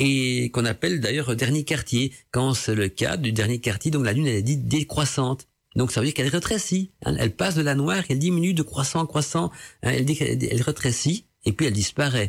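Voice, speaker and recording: A man at a moderate pace with lively intonation, vocal fry and very even loudness, in a very clean recording with a silent background. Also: medium pitch for a man. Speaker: radio host. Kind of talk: casual radio talk on esoteric topics. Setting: home studio.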